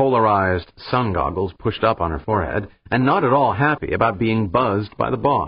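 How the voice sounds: Reading voice that sounds natural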